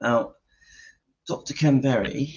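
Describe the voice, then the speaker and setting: A man speaks quietly in an English accent. His pace is fairly slow and his intonation fairly even. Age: 50s. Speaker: YouTuber sharing diet experience. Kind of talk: casual vlog talk. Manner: speaking quietly.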